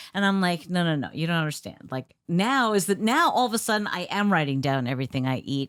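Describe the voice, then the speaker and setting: Her voice is a normal speaking voice, fairly low for a woman and lively in intonation, captured in a very clean recording with a silent background. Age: 60s. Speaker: podcast co-host. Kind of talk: casual chat.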